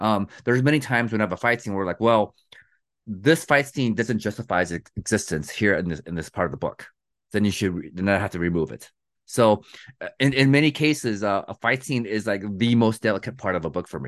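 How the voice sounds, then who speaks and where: An unremarkable speaking voice with lively intonation at a fairly quick pace, dry and close with no echo, over a quiet background. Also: man, fairly low pitch for a man. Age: 40s. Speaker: fantasy author. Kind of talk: interview.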